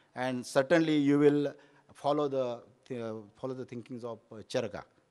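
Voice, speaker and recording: At a fairly quick pace, a man speaks at medium pitch with fairly even intonation and big swings in loudness. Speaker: Ayurvedic doctor. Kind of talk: conference talk. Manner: halting, many fillers.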